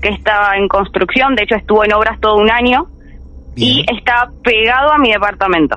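Her voice sits fairly high, with ordinary pitch variation. The woman talks at a fairly quick pace. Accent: Rioplatense. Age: 20s. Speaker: caller sharing a paranormal experience. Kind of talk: testimony. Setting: remote call.

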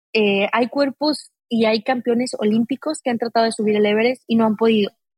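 A woman's somewhat breathy voice, fairly high in pitch, at a moderate pace. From Mexico, Aguascalientes. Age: 40s. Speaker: mountaineer. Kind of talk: interview conversation.

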